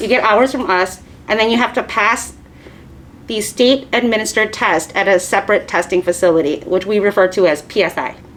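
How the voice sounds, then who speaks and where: Fairly quick speech from a woman with a fairly high pitch and ordinary pitch variation, over noticeable background noise. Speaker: nail technician instructor. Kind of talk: lecture. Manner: fast.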